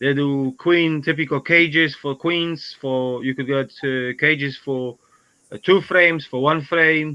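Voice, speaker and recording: At a fairly slow pace, a man with a non-native accent speaks in a fairly high pitch with fairly even intonation. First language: not English. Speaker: beekeeper. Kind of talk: casual chat. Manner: halting.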